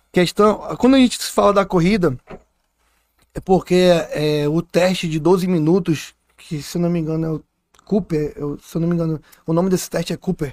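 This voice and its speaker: A man with a high pitch speaks at a moderate pace with ordinary pitch variation and long, frequent pauses. The recording is dry and close, with no echo. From Manaus, Amazonas, Brazil. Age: 30s. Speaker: police captain and wrestler. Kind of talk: podcast interview.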